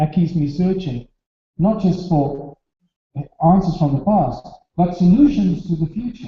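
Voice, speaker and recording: Pausing long and often, a man talks at a fairly slow pace in a high voice. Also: lively intonation. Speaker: speaker on alternative history. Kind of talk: lecture.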